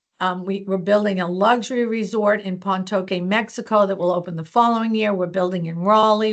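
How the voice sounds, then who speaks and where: This woman's voice sits at a medium pitch. She delivers her lines in a monotone, flat way. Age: 60s. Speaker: hotel company HR executive. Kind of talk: interview. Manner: casual, conversational.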